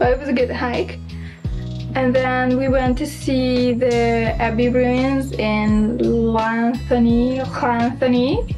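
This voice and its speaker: Music plays clearly behind the speech. The voice belongs to a woman. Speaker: travel vlogger. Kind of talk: casual vlog chat. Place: home room. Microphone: phone near.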